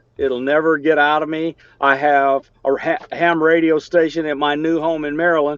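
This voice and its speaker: In a Southern US accent, a man speaks at a moderate pace with a fairly high pitch and monotone, flat intonation. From US South, Alabama. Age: 60s. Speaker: engineer and amateur radio operator. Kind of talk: technical discussion in a video meeting. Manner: halting, many fillers.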